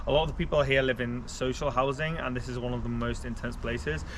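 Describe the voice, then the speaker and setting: A man talks at a very fast pace with an English accent. There is noticeable background noise. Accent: English-sounding. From Belgium. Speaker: travel vlogger. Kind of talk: casual travel vlog narration.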